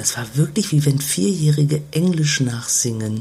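A woman talks with lively intonation at a very deep, low pitch. There is noticeable background noise. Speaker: podcast co-host. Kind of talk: casual chat. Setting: caravan on holiday. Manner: quieter than usual.

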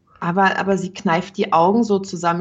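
This woman's voice is somewhat breathy and sits at a medium pitch. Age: 30s. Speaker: cam performer, podcast co-host. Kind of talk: casual chat.

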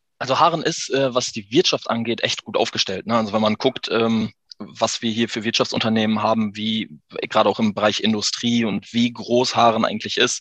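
An ordinary speaking voice from a man, medium in pitch, with fairly even intonation and a fairly quick pace. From Emsland, northwest Germany. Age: 30s. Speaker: business owner. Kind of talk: interview.

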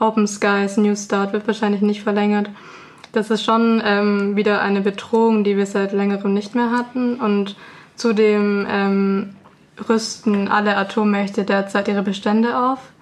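Over noticeable background noise, a woman speaks at a fairly slow pace with a medium pitch, a flat, monotone intonation and very even loudness. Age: 20s. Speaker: peace activist. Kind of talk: radio interview. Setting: radio studio.

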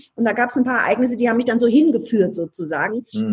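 A woman speaks at a very fast pace in an animated, somewhat breathy tone. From Ludwigshafen, Palatinate, Germany. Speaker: change consultant and speaker. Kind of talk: interview conversation.

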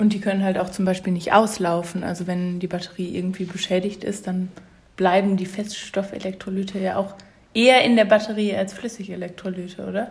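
A woman talks at a fairly quick pace with a medium pitch, a somewhat breathy sound and monotone, flat intonation. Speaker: podcast host, chemistry student. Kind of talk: casual chat; reading aloud.

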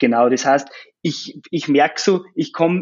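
This is a man speaking at a moderate pace. His pitch is fairly high. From Austria, Salzkammergut (Upper Austria). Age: 20s. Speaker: software startup co-founder. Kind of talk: interview. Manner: halting, many fillers.

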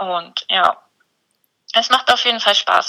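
The sound is close and dry, without any echo. It is a woman talking. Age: 20s. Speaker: dog blogger and lab technician. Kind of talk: casual interview.

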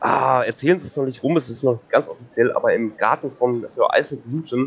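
An ordinary speaking voice, a man at a medium pitch and a fairly quick pace. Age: 30s. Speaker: game show contestant. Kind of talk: casual role-play game.

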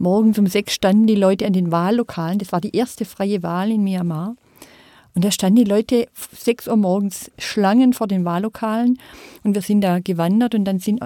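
The recording is dry and close with no echo, and a woman speaks at a medium pitch in a dark, mellow tone with ordinary pitch variation. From southwest Germany, Rottweil. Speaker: civic association representative. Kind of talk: panel discussion. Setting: studio.

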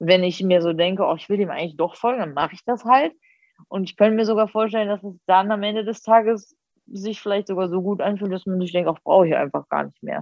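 Racing at a very fast pace, a woman at medium pitch shows ordinary pitch variation and big swings in loudness. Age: 30s. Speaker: psychology graduate and social media creator. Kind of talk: casual chat. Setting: video call.

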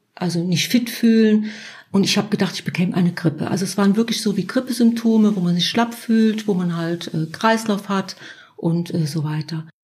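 A woman speaks in a normal speaking voice at a medium pitch. Her pitch moves up and down an ordinary amount. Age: 50s. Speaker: self-help group leader. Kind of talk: interview about personal experience.

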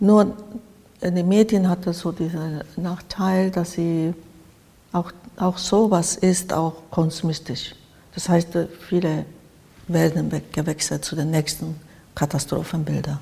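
With a Japanese accent, a woman speaks at a very slow pace and a fairly low pitch, with fairly even intonation and long, frequent pauses. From Japan, by the sea. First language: Japanese (speaking German). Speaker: artist. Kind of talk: interview. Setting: artist's studio.

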